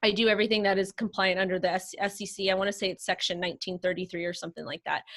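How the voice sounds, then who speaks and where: Recorded with a dry, close sound and no echo, a woman of medium pitch talks at a very fast pace in a monotone, flat intonation with hardly any pauses. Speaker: crypto influencer and marketing consultant. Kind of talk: casual interview chat.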